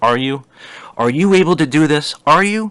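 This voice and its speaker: A man performs a put-on character voice, resonant and fairly high. He keeps a moderate pace. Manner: boastful, showy, challenging.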